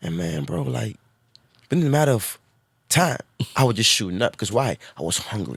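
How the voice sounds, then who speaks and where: A man's fairly low voice with vocal fry, very wide pitch swings, a fairly quick pace and long, frequent pauses. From immigrant, came to US at 9 or 10. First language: not English. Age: 40s. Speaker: entrepreneur. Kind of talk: casual chat. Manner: animated.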